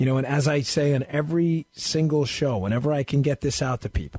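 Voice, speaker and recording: Against a quiet background, a man speaks at a medium pitch in a dry, close sound with no echo. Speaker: fill-in radio talk show host, former police and federal agent. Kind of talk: talk radio monologue. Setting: home studio. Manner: loud; animated.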